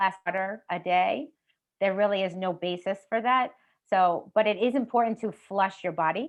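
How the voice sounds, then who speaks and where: Moderate-paced speech from a woman with an American accent, medium pitch and ordinary pitch variation. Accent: New York, comes out at times. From Long Island, New York. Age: 50s. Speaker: health specialist. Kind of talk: interview.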